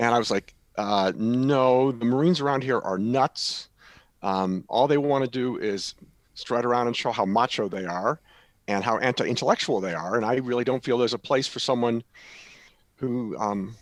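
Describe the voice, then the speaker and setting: A man with an American accent uses a normal speaking voice with ordinary pitch variation at a moderate pace. The recording is very clean with a silent background. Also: medium pitch for a man. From US Midwest / Northeast (Cleveland, Ohio; Connecticut). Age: 60s. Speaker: retired Marine colonel. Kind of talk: interview.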